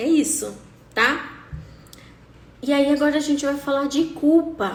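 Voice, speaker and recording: A woman's high-pitched, animated voice at a fairly slow pace, with audible room echo. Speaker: coach. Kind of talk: live talk.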